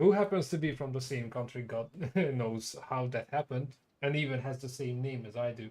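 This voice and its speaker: A man talks at a fairly quick pace in a medium pitch. His pitch variation is ordinary. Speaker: gaming streamer. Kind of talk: casual live stream commentary. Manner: halting, many fillers.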